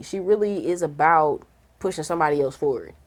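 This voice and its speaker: An animated woman's voice with a St. Louis accent. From St. Louis, Missouri. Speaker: radio host. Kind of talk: casual interview chat.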